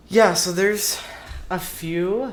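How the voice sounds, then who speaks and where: In an American accent, a man speaks at a very slow pace. Noticeable background noise and audible room echo are present. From US Midwest, southern Minnesota. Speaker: interviewee. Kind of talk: casual interview.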